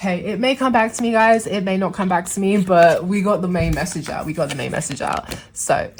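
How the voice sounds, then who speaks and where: Fairly quick speech from a woman with ordinary pitch variation, set against noticeable background noise. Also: medium pitch for a woman, hardly any pauses. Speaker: tarot reader. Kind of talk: tarot reading to camera. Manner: casual, chatty.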